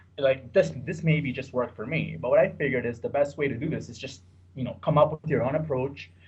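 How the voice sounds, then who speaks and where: A man talks very fast at a fairly high pitch, with ordinary pitch variation and vocal fry. His loudness swings widely. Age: 30s. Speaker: sports bettor. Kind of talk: podcast interview.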